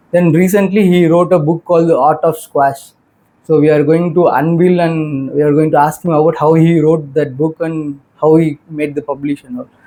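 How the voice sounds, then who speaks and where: A man with a Tamil accent speaks at a fairly high pitch in a dark, mellow tone, his intonation fairly even. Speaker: podcast host, MBA student. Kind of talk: casual interview.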